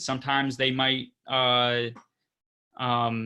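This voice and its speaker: This man's voice sits at medium pitch and has a bright, sharp tone. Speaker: real estate investing presenter. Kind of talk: educational presentation on video call.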